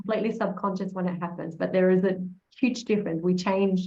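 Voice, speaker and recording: Somewhat breathy and medium-pitched, a woman talks at a fairly quick pace with an American accent and fairly even intonation. Audible room echo surrounds her voice. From Australia. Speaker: copywriter, conference speaker. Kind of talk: casual interview conversation.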